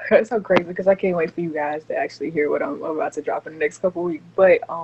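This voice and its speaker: Over noticeable background noise, a woman with a fairly low pitch speaks at a very fast pace in a fairly even intonation. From Mississippi (Hattiesburg). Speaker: R&B singer and artist. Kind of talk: interview. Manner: soft-spoken, talking low.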